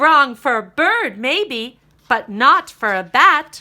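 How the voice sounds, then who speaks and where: A woman speaks very slowly in a high, put-on character voice. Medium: read story. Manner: playful, explanatory.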